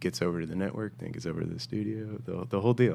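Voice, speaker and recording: A man speaks in an ordinary speaking voice. His pitch is fairly low, and his intonation is lively. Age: 30s. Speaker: music supervisor. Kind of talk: casual chat. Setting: hotel room.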